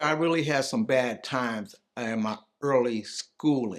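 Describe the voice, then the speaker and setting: A man speaks with ordinary pitch variation. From Cleveland, Ohio. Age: 60s. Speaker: community storyteller. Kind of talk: oral history testimony. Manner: conversational, reflective.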